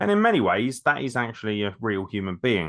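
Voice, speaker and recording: Talking at a very fast pace, a man speaks with an English accent. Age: 30s. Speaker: podcast host. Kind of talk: casual chat.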